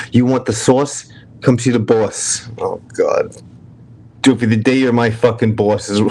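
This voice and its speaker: A man with a strong New York accent talks fairly slowly at a medium pitch, his intonation monotone and flat. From New York, Brooklyn. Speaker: livestream host. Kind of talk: casual chat.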